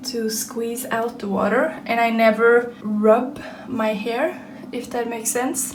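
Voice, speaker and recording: With a Norwegian accent, a woman speaks at a fairly slow pace and a high pitch amid noticeable background noise. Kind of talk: casual vlog talk to camera.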